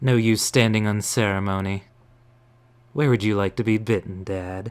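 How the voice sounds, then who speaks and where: A man's put-on character voice, fairly low in pitch, at a moderate pace. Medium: actual play. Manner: composed, slightly mocking.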